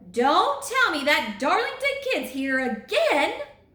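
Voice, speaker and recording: In a put-on character voice, a woman talks at a fairly slow pace with a high pitch and audible echo. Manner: teasing, jovial.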